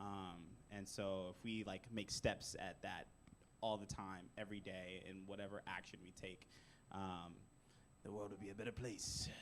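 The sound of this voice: At a moderate pace, a man speaks loudly in a low pitch with little pitch movement.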